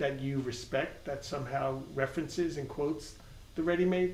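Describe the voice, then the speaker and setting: Fairly even intonation in a Long Island accent, moderate pace, audible room echo and noticeable background noise. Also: man. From Long Island, New York. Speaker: art world interviewer. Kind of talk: interview.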